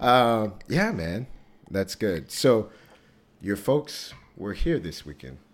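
With an American accent, a man with a fairly low pitch and vocal fry speaks at a very slow pace, making long, frequent pauses, big swings in loudness and very wide pitch swings. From Texas, Dallas area. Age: 30s. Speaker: podcast host. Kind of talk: casual chat.

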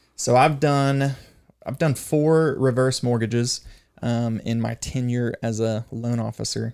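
A man with an American accent speaks in a plain, everyday voice at a medium pitch. His pace is fairly slow and his intonation fairly even, on a very clean recording with a silent background. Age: 30s. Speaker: mortgage loan officer. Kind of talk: casual chat.

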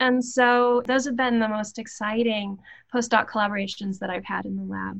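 With an American accent, a woman speaks at a moderate pace in a fairly high, somewhat breathy voice with fairly even intonation against a quiet background. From US South, Appalachia (West Virginia/Virginia border). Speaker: anthropology professor. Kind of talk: interview.

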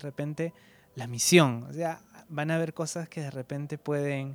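This man talks at a moderate pace, his fairly high voice rising and falling in an ordinary way. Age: 20s. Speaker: podcast host. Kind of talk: interview. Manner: halting, repeats words.

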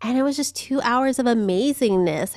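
The speaker talks fairly slowly with an American accent and lively intonation on a very clean recording with a silent background. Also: woman. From Southern California. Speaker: podcast guest co-host. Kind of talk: casual chat.

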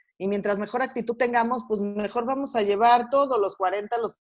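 A woman with an ordinary speaking voice talks at a moderate pace and a fairly high pitch, with ordinary pitch variation. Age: 30s. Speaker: guest. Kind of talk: casual chat.

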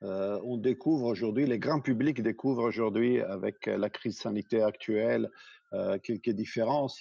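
The man's intonation is fairly even. He speaks at a fairly slow pace. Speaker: healthcare business executive. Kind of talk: interview.

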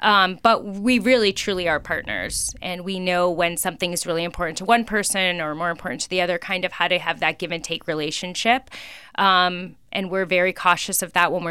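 On a very clean recording with a silent background, a woman with an American accent speaks at a fairly low pitch and a fairly quick pace, with a bright, sharp tone and fairly even intonation. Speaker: auto dealership group president. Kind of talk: interview. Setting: radio studio.

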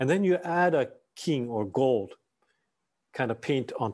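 A man's medium-pitched voice at a fairly slow pace, very wide pitch swings, quiet background. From Japan (Tokyo and Nagano). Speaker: Zen priest and Buddhist scholar. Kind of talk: dharma talk. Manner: halting, many fillers.

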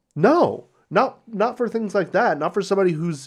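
On a very clean recording with a silent background, a man with a normal speaking voice talks at a moderate pace with lively intonation. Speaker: podcast co-host and editor. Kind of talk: casual banter.

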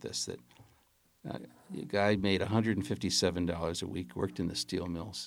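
This man has an American accent, a very deep, low pitch, and vocal fry. His intonation is lively, and the recording is very clean with a silent background. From Chicago, US. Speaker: film director. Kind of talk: casual interview.

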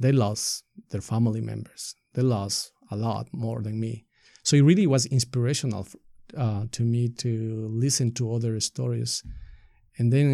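A man with a Spanish accent speaks at a medium pitch in a dark, mellow tone. The recording is very clean, with a silent background. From Ecuador. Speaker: nonprofit leader. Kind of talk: interview.

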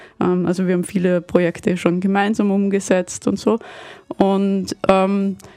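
There is noticeable background noise as a woman speaks at medium pitch and a fairly slow pace. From Vienna, Austria. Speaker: game studio founder. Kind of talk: radio interview. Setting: radio studio.

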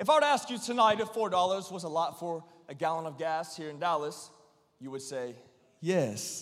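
A man speaks in an animated tone with very wide pitch swings and big swings in loudness, and room echo is audible. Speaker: preacher. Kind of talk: sermon. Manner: repetitive, emphatic.

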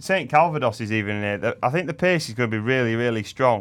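A man in a normal speaking voice talks at a fairly quick pace, medium in pitch with lively intonation. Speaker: racing co-host and tipster. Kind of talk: casual chat, racing preview. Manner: casual, conversational.

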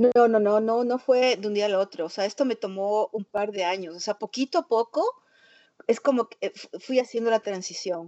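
The pitch of this woman's voice is fairly high. It varies in an ordinary way. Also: moderate pace. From Ecuador. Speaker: printmaker and multidisciplinary artist. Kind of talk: interview conversation. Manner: halting, many fillers and repetitions.

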